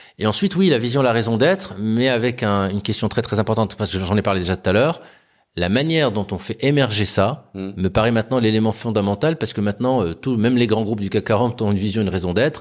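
Very fast speech from a man with a fairly low pitch and ordinary pitch variation, on a very clean recording with a silent background. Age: 40s. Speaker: company founder and CEO. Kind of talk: interview conversation. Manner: hesitant, with fillers and repetitions.

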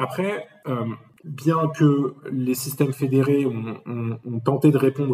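A man talks with fairly even intonation. Noticeable background noise runs underneath. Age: 30s. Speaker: management consultant. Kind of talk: interview.

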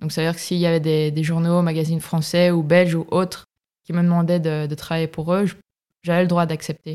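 The tone is dark and mellow, with monotone, flat intonation. The recording is very clean, with a silent background. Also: woman. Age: 30s. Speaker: photojournalist. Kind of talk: casual chat. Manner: halting.

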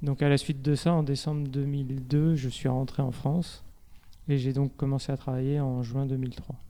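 A man speaks in a dark, mellow tone at a fairly high pitch. His intonation is monotone and flat. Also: fairly slow pace. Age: 40s. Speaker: operations manager in hardware start-ups. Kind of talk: interview. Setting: studio.

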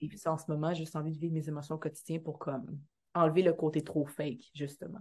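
A woman with a Quebec accent talks at a very fast pace in a very deep, low voice. She sounds somewhat breathy, and her intonation is fairly even. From Quebec, Montreal area, Haitian background. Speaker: actress and dancer. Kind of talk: casual interview chat.

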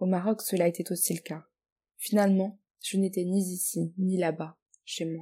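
A woman speaks at a moderate pace in a medium pitch, her dark, mellow tone somewhat breathy and her intonation monotone and flat, with long, frequent pauses. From Morocco and France. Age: 20s. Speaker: guest writer. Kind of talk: reading aloud.

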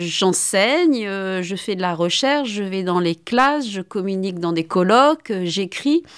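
At a very slow pace, a woman speaks at a medium pitch with lively intonation, in a very clean recording with a silent background. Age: 50s. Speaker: philosophy professor. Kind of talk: testimony.

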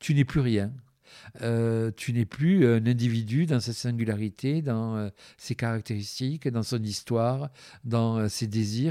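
The recording is very clean, with a silent background. A man speaks very slowly in a dark, mellow tone. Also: medium pitch for a man, ordinary pitch variation. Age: 60s. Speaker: activist. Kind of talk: interview. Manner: halting.

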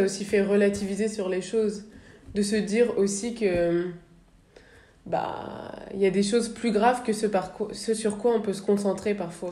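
In a room with audible echo, a woman talks at a moderate pace and medium pitch with fairly even intonation. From northern France, Le Havre. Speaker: podcast host. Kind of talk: interview.

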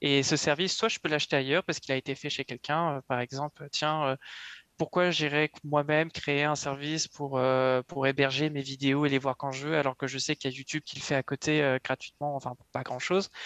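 Speaking at a fairly quick pace, a man uses a fairly high pitch and a flat monotone. The sound is dry and close, with no echo. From France, Yvelines (west of Paris). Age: 20s. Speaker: web developer. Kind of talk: interview.

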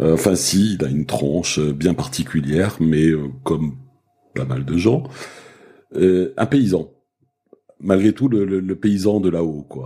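A man speaks at a very slow pace with a very deep, low pitch and lively intonation. Long, frequent pauses break up his speech. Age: 60s. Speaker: osteopath. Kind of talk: casual chat. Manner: halting.

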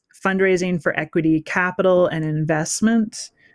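A woman with a Canadian accent and a fairly low pitch, on a very clean recording with a silent background. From western Canada. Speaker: entrepreneur. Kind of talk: interview.

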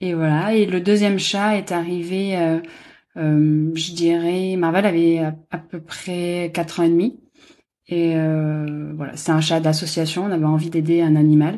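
A woman with a dark, mellow tone speaks fairly slowly in a fairly low voice. Her intonation is monotone and flat, and the background is quiet. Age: 30s. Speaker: graphic designer, dog owner. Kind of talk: casual interview.

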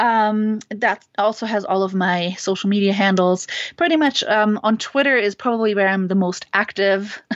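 A woman with a German accent speaks at a very even loudness with ordinary pitch variation. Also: medium pitch for a woman, moderate pace, hardly any pauses. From Germany. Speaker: author. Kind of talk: interview. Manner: hesitant, many fillers.

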